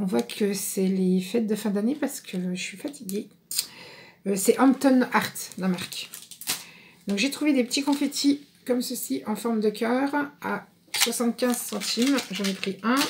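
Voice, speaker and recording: Long, frequent pauses break up the fairly slow delivery, with ordinary pitch variation and light background noise. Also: woman. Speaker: craft vlogger. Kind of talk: casual haul vlog chat. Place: home room. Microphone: phone near.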